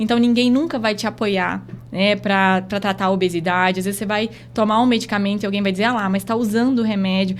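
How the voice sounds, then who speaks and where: The speaker has a strong Rondônia accent and a fairly quick pace. Intonation is fairly even. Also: woman. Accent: Rondônia accent, still strong. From Rondônia, northern Brazil (Porto Velho). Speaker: doctor. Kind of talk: closing message in podcast interview. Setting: podcast studio.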